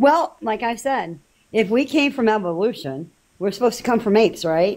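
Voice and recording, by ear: With lively intonation and a slightly mellow tone, a woman speaks at a moderate pace. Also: medium pitch for a woman.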